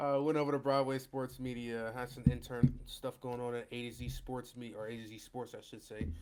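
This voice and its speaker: In a normal speaking voice, a man talks at a fairly quick pace with hardly any pauses. His pitch is medium and his intonation fairly even, while his loudness swings widely. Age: 20s. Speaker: sports writer and podcast co-host. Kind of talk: casual chat.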